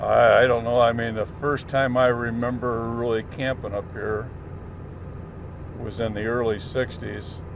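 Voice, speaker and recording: A man at medium pitch with monotone, flat intonation and a fairly slow pace, with audible room echo and noticeable background noise. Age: 70s. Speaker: vlogger and Vietnam veteran. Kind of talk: casual reminiscing vlog. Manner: halting, many filler pauses.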